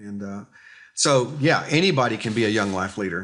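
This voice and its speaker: A man with an ordinary speaking voice, a moderate pace and ordinary pitch variation, over a quiet background. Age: 60s. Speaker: youth ministry leader. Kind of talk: interview.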